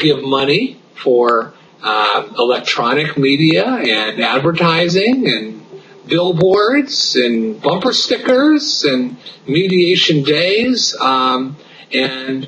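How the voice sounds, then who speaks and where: Over light background noise, a man speaks at a very slow pace. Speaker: interviewee. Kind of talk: interview answer. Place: office. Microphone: video call.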